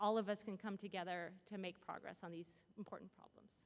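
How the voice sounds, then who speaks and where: At a moderate pace, a woman talks with a monotone, flat intonation. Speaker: philosopher of science, symposium speaker. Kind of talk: lecture with audience Q&A. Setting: stage with audience. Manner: loud.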